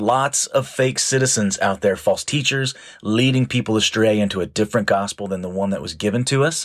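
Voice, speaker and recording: With an unremarkable speaking voice, a man talks at a fairly quick pace in a fairly low pitch, barely pausing at all. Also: lively intonation. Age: 40s. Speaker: pastor. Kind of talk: sermon. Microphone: new audio equipment failed, audio only.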